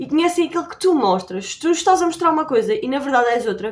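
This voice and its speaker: Speaking very fast in a high pitch, a woman with a European Portuguese accent uses lively intonation. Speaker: YouTuber. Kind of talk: tutorial. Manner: casual.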